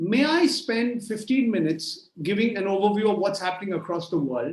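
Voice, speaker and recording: With a Bengali accent, a man speaks at a high pitch, his voice making very wide pitch swings. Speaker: journalist. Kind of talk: conference keynote talk. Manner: hesitant, repeats words; extempore, no notes.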